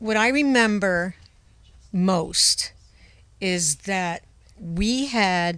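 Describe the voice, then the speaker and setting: A woman with a New England accent speaks at medium pitch and a very slow pace, with ordinary pitch variation. She leaves long, frequent pauses, and the recording is very clean with a silent background. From Rhode Island, outside Providence. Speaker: former radio personality. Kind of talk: casual chat.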